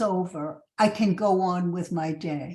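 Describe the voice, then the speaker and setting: A woman's somewhat breathy voice with a New York accent. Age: 70s. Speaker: recovery fellowship speaker. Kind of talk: testimony.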